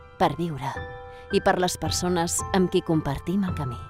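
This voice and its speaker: This woman speaks at a fairly slow pace with a very deep, low pitch and ordinary pitch variation. Music plays behind her. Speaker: voice actor. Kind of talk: corporate narration. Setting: professional home studio.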